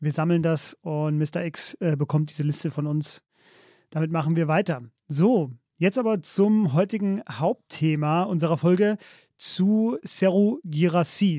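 A man's high-pitched voice with a dark, mellow tone, ordinary pitch variation and a fairly slow pace, dry and close with no echo on a very clean recording with a silent background. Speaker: football podcast host. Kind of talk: casual chat.

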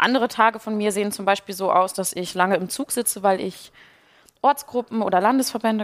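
An ordinary speaking voice from a woman with a medium pitch and ordinary pitch variation, in a dry, close sound with no echo. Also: fairly quick pace. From Ruhr area, Germany. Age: 20s. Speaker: youth party spokesperson. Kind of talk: casual chat while cooking.

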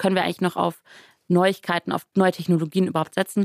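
In a dry, close sound with no echo, a woman talks at medium pitch with monotone, flat intonation. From western Germany, Rhineland (Grevenbroich). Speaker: politician. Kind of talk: interview.

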